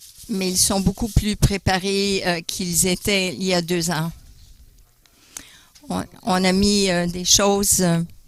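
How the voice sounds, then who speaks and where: A man with a high pitch talks very slowly in a monotone, flat intonation. He leaves long, frequent pauses. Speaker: guest speaker on creationism. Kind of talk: church talk. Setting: church. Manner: hesitant, many fillers.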